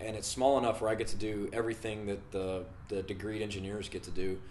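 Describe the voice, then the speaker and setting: A man with an American accent speaks at a very fast pace with fairly even intonation. His fairly low voice has an audible room echo. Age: 20s. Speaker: engineering student. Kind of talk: self-introduction video. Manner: casual, with many fillers.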